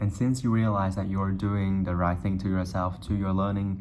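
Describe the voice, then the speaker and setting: A man's fairly low voice with a Vietnamese accent, plus audible room echo. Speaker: YouTuber. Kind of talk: casual monologue to camera.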